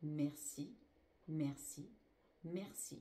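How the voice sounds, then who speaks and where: A woman's somewhat breathy voice with a dark, mellow tone, at a very slow pace, with audible room echo. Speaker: spiritual healer. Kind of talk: spiritual teaching.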